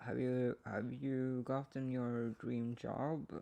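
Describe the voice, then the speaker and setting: A man speaks very slowly with a Swedish accent. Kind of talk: ASMR ramble, poetry reading. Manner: close-up, rambling.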